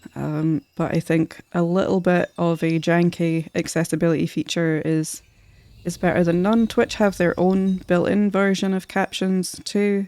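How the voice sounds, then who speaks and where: A woman with a Scottish accent talks at a fairly slow pace in a fairly low pitch, her dark, mellow tone carrying fairly even intonation and very even loudness. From Scotland. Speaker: streamer and artist. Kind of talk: casual live-stream chat. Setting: live stream.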